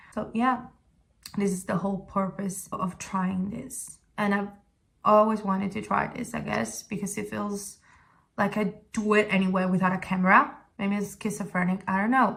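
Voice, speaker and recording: In an Italian accent, a woman speaks at a moderate pace with a medium pitch and monotone, flat intonation. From Italy, Sicily. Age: 20s. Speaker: vlogger. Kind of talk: casual talk to camera. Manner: halting.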